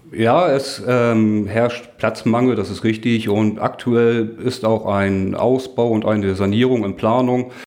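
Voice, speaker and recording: Very slowly and with hardly any pauses, a man speaks at a medium pitch with fairly even intonation. Noticeable background noise and audible room echo fill the recording. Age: 30s. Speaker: volunteer firefighter, group leader. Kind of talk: interview, explaining equipment.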